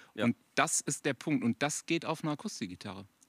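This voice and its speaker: A man talks at a fairly quick clip, the sound dry and close with no echo and the recording very clean over a silent background. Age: 40s. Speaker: rock guitarist. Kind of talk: casual chat. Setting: outdoors in a garden at a grill.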